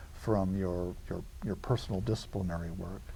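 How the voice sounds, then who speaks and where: A man's dark, mellow, somewhat breathy voice, fairly low in pitch, with ordinary pitch variation at a moderate pace. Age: 60s. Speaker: university interim dean. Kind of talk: television interview. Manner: halting, repeats words.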